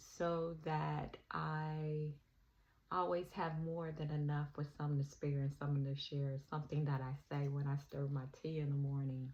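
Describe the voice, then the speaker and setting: A woman speaks in a very deep, low voice, somewhat breathy, with flat, monotone intonation. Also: moderate pace. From US South, Alabama. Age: 60s. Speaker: spiritual vlogger. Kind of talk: personal reflection monologue. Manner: hesitant, with filler ums.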